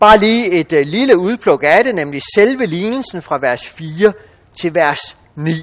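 A man talks at a fairly slow pace. His high pitch swings very widely. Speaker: bible teacher. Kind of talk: bible teaching talk. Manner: hesitant with fillers.

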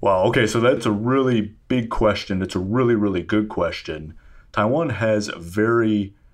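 This man has an American accent and a fairly low pitch. He talks at a moderate pace with ordinary pitch variation. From US Midwest, rural Illinois. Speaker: defense and security researcher. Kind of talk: interview.

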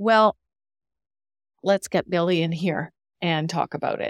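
A woman with an unremarkable speaking voice talks at a fairly slow pace and fairly low pitch, with fairly even intonation. The recording is very clean with a silent background, dry and close with no echo. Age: 50s. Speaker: workplace relationships speaker and coach. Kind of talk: interview.

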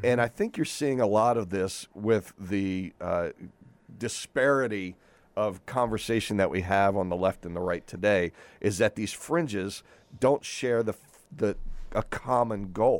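An unremarkable speaking voice from a man, fairly low in pitch with ordinary pitch variation, at a fairly slow pace, in a very clean recording with a silent background. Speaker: radio panelist. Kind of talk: talk radio panel discussion.

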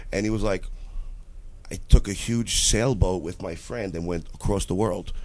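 A man speaks in a normal speaking voice, fairly low in pitch. His intonation is fairly even, his loudness swings widely, and his pace is moderate. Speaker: podcast co-host. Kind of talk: casual banter on a comedy chat show. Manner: joking, laughs a lot.

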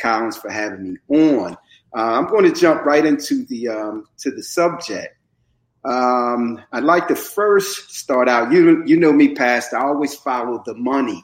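An ordinary speaking voice from a man with an American accent, fairly high pitch, lively intonation and a fairly slow pace. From Camden, New Jersey. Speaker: community activist and mentor. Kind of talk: casual conversational discussion on prison reform. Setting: podcast interview.

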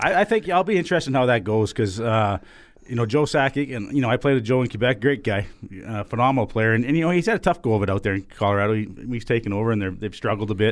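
With lively intonation and a medium pitch, a man talks at a very fast pace. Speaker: former hockey enforcer, podcast co-host. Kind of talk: casual sports chat.

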